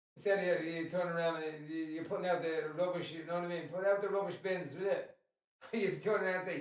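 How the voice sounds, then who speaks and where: With an American accent, a man talks at a fairly quick pace in a high pitch. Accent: strong Irish, some American twang. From Ireland. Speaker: podcast co-host. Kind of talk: casual chat.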